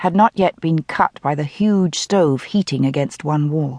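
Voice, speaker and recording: A woman at a moderate pace, with a dry, close sound and no echo. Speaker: audiobook narrator. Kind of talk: dramatic audiobook narration of a mystery novel, richly descriptive with voiced dialogue. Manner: measured, atmospheric storytelling pace lingering over descriptive detail; shifts into Scottish-accented character voices for dialogue.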